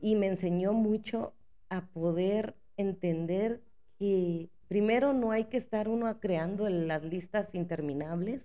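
This woman speaks at a medium pitch with a dark, mellow tone. Her pace is very slow, and her pitch varies in an ordinary way. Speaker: podcast host. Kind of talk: casual monologue.

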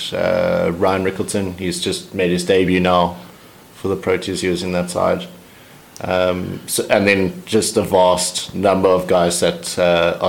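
Here is a man with a South African accent and a very deep, low pitch. He speaks fairly slowly in a monotone, flat intonation. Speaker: cricketer, overseas club player. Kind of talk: casual interview.

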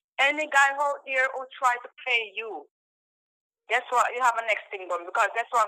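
Her tone is bright and sharp, with a high pitch and ordinary pitch variation. The woman keeps a moderate pace, her loudness swinging widely. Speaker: caller. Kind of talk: casual opinion chat.

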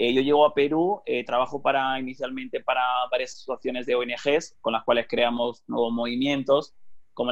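His voice sits at a medium pitch for a man. He talks at a moderate pace. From Spain. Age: 30s. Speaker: digital marketing consultant. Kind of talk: interview conversation. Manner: hesitant, many fillers.

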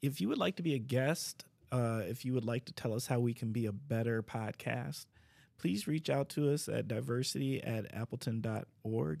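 In a normal speaking voice, a man talks at a moderate pace and medium pitch, with ordinary pitch variation. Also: very clean recording, silent background. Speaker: podcast host, city DEI coordinator. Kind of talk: interview podcast, casual conversation.

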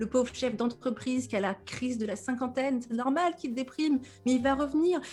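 Music plays in the background as a woman with a high pitch talks at a fairly quick pace, using ordinary pitch variation. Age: 30s. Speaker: depression coach and podcaster. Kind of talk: casual interview. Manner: animated, with frequent laughter.

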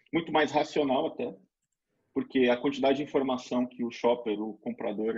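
A man in a plain, everyday voice speaks fairly quickly at a medium pitch, with ordinary pitch variation. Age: 40s. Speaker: retail pricing consultant. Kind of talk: webinar presentation.

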